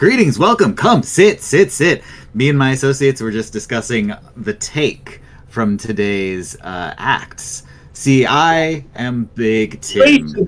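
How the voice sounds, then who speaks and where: Using a booming, put-on character voice, a man speaks at a very slow pace and a medium pitch. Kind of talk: carnival barker pitch. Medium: actual play. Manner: flamboyant, ingratiating, salesy.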